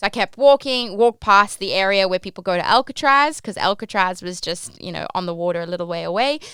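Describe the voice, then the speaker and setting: In an Australian accent, a woman talks very fast at a medium pitch, her tone animated, bright and sharp, with lively intonation and big swings in loudness. The recording is very clean, with a silent background. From Australia, Port Macquarie NSW. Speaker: podcast host, cruise ship worker. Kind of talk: casual storytelling podcast. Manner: animated, chatty with many fillers.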